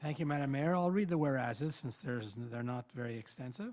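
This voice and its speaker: A man talks at a fairly high pitch with a dark, mellow tone. The recording is very clean, with a silent background. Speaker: city councillor. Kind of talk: reading a motion. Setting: council chamber. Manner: fast.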